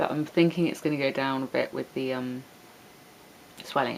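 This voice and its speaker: A woman's very deep, low voice with an English accent at a fairly quick pace, amid noticeable background noise. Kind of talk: casual vlog talk to webcam.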